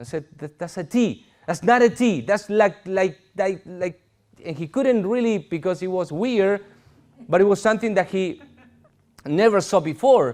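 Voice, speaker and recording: A man with a Spanish accent speaks at a moderate pace. His high-pitched voice has lively intonation. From Argentina. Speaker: pastor. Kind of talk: sermon.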